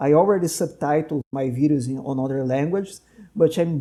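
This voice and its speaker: A man speaks with a Portuguese accent at a moderate pace. His fairly high voice has a dark, mellow tone and ordinary pitch variation. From Brazil. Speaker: doctor and podcast host. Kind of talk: casual interview conversation.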